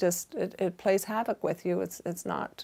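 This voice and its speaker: Over a very clean recording with a silent background, a voice with vocal fry and a Canadian accent speaks at a moderate pace with fairly even intonation. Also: woman. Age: 60s. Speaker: fashion boutique owner. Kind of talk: interview monologue giving career advice.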